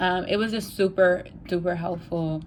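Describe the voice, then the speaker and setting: A woman speaks in a New York accent at a medium pitch. Her intonation is monotone and flat. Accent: New York City English. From New York City. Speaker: language learning vlogger. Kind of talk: casual vlog talk. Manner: casual, many filler ums.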